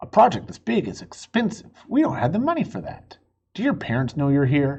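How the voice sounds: A man puts on a character voice with vocal fry, very wide pitch swings, a fairly quick pace and a slightly mellow tone. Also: fairly high pitch for a man.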